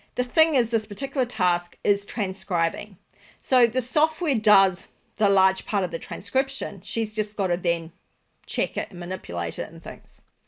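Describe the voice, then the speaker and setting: Speaking with an Australian accent, a woman of medium pitch talks at a moderate pace with lively intonation on a very clean recording with a silent background. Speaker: business podcast host. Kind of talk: solo podcast monologue.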